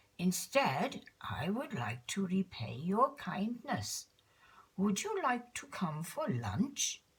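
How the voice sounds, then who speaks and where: The speaker uses a put-on character voice at a middle pitch. The pace is very slow. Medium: read story.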